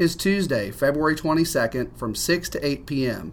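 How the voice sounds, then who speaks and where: In a plain, everyday voice, a man talks at a moderate pace. His pitch shows ordinary variation. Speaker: school headmaster. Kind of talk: scripted school announcements read aloud in a brisk, even announcer tone. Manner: formal, businesslike and polished, reading out dates and events; courteous and upbeat, with a warm thank-you tone.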